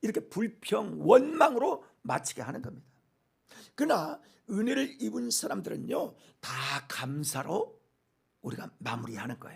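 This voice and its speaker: An animated man at a moderate pace, with big swings in loudness and long, frequent pauses. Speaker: pastor. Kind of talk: sermon.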